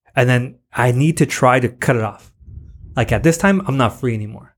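Somewhat breathy, a man speaks with an American accent on a very clean recording with a silent background. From US-Mexico border, San Diego area. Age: 30s. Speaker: high school teacher. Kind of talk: casual chat.

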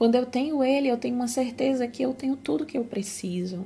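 With ordinary pitch variation, this somewhat breathy voice has a dark, mellow tone. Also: woman. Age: 30s. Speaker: podcast host, Bible teacher. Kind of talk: devotional Bible reflection.

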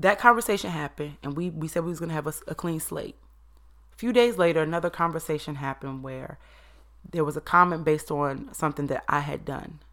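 A woman talks at a very fast pace in an animated tone. Her pitch is very deep and low. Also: ordinary pitch variation, big swings in loudness. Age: 30s. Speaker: podcast host. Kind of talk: solo monologue.

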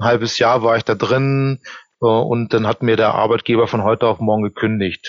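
A man talks at a fairly quick pace with a medium pitch. He has a plain, everyday voice and fairly even intonation. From Germany. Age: 40s. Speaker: employment reference consultant. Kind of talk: interview. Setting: video call.

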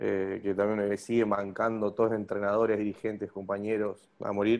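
This man has a fairly low pitch and a fairly quick pace. His delivery is flat and monotone. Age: 20s. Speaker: bodybuilder. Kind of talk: interview. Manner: talkative.

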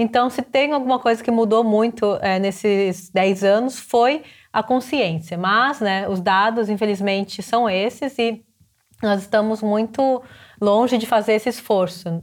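A woman's fairly high-pitched, normal speaking voice at a fairly slow pace, with ordinary pitch variation, in a very clean recording with a silent background. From Brazil. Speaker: climate social entrepreneur. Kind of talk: interview.

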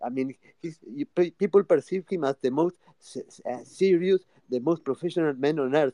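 A man with a Rioplatense Spanish accent talks at a moderate pace in a dark, mellow tone, with a dry, close sound and no echo. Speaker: social audio space host. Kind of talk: casual chat. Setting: online audio room.

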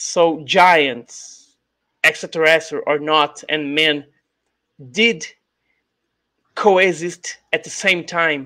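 Speaking with a Brazilian accent, a man with a fairly high pitch and a bright, sharp tone talks at a very slow pace. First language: Portuguese. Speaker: YouTube channel host and ufologist. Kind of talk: interview. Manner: halting, frequent hesitations and repeats.

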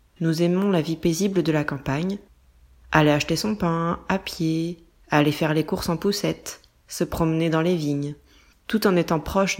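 A woman with an ordinary speaking voice talks at a moderate pace with fairly even intonation, in a very clean recording with a silent background. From France. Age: 20s. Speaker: management controller and mother. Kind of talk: scripted narration. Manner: clear, measured for learners.

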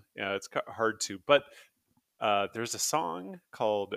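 In an ordinary speaking voice at a moderate pace, the sound is dry and close with no echo. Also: man. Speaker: podcast host. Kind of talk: casual chat.

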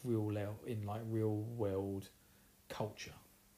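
Speaking in an Essex accent, a man has a medium pitch and a somewhat breathy voice. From Essex, England. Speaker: podcast host. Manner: casual, chatty.

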